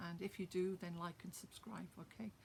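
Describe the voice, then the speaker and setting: Somewhat breathy and medium in pitch, a woman speaks in a monotone, flat intonation at a moderate pace. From Wales. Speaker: poet. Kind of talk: casual introduction; reading aloud own poem.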